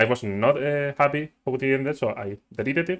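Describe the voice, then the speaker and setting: With a non-native accent, a man speaks at a medium pitch with ordinary pitch variation. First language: not English. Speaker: gaming youtuber. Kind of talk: gameplay tutorial. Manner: halting.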